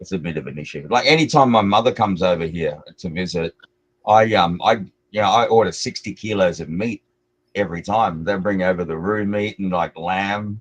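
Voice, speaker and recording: Very deep and low, this man's voice carries an Australian accent. His pitch varies in an ordinary way, while his loudness swings widely. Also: fairly quick pace. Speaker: crypto stream guest. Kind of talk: casual chat.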